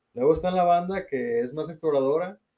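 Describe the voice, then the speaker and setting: A man speaks with a dark, mellow tone. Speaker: cycling podcast co-host. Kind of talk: casual chat.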